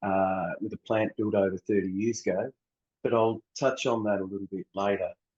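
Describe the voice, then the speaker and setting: With an Australian accent, a man speaks in a dark, mellow tone over a dry, close sound with no echo. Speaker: water utility researcher. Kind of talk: conference presentation. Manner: halting.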